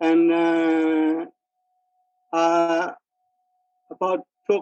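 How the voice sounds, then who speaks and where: A man speaks with a Burmese accent over music in the background. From Myanmar, Kyaukse near Mandalay. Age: 80s+. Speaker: retired mining engineer. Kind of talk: interview. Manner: halting, with many fillers.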